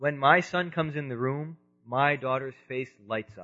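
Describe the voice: A man speaks at a fairly slow pace and a medium pitch. His tone is bright and sharp, with ordinary pitch variation.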